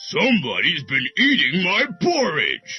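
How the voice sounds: A high-pitched, put-on character voice from a man at a moderate pace, with faint music in the background.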